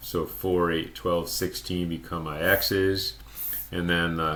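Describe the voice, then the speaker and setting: A man's very deep, low-pitched voice, bright and sharp in tone, with audible room echo. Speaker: math teacher. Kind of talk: lecture. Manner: slow.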